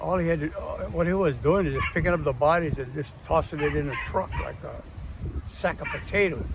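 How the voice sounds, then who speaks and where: A man's fairly quick speech in a Hawaiian accent, with noticeable background noise and audible room echo. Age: 80s+. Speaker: martial arts grandmaster and war veteran. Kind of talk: personal storytelling monologue. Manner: halting, many fillers.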